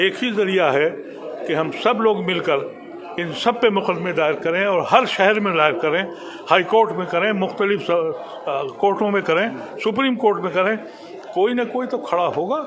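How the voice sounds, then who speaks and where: A man's high-pitched voice with ordinary pitch variation, noticeable background noise and audible room echo. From India. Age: 70s. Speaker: former politician. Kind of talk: interview. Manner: impassioned.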